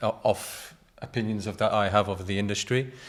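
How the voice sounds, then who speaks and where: With a British accent, a man speaks in a fairly low pitch. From Britain. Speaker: graphic designer. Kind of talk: casual chat.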